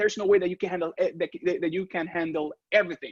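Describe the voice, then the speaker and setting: A Spanish accent, in a dry, close sound with no echo. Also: man. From Venezuela. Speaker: real estate photographer. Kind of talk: interview. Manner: halting.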